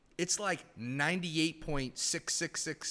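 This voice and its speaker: A man with an American accent, fairly high pitch, vocal fry and an animated tone, in a very clean recording with a silent background. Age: 30s. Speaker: former hockey team president. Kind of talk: casual podcast interview.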